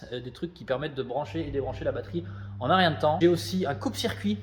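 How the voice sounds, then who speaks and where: Speaking very fast, a man uses an animated tone and very wide pitch swings. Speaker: car modding YouTuber. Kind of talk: casual vlog tutorial. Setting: garage workshop.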